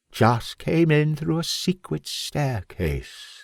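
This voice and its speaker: A put-on character voice with a menacing tone and a hissing sound speaks at a very slow pace, heard as a dry, close sound with no echo. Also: man, fairly high pitch for a man, very clean recording, silent background. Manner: slow, hissing, menacing.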